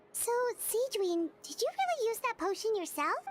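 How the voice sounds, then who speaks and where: A woman puts on a squeaky character voice at an extremely high pitch. She talks at a moderate pace with lively intonation. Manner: curious, slightly surprised.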